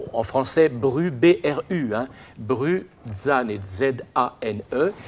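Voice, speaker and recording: A man of medium pitch speaks with lively intonation. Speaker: lecturer. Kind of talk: lecture. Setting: opera house with audience. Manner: hesitant, many fillers.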